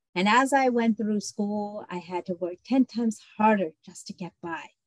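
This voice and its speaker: Recorded with a dry, close sound and no echo, a woman speaks at a medium pitch with lively intonation and a somewhat breathy voice. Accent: American. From adopted from Colombia as a baby, raised in the US. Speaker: personal accountability coach. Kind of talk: interview, personal testimony.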